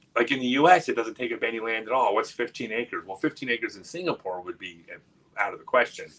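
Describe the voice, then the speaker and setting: A man talks at a fairly quick pace. He speaks with an American accent. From USA. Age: 50s. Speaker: disc golf player and livestream host. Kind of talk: casual livestream chat. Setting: livestream from Singapore. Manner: halting with frequent repetitions.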